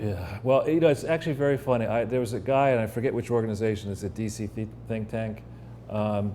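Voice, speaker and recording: A man talks at a very fast pace, his pitch fairly low and its variation ordinary. Some room echo can be heard. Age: 60s. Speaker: financial investigator and political commentator. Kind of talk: casual interview chat. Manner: halting.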